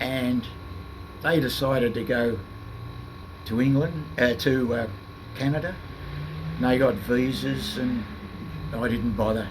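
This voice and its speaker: A man with an Australian accent at medium pitch and ordinary pitch variation, a fairly slow pace, long, frequent pauses, and noticeable background noise. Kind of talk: interview answer. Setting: noisy room with air conditioning. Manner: soft-spoken.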